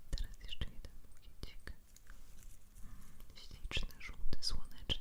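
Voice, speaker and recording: A woman whispers at a very slow pace. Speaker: ASMR creator. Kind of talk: ASMR whisper. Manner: whispered, soft.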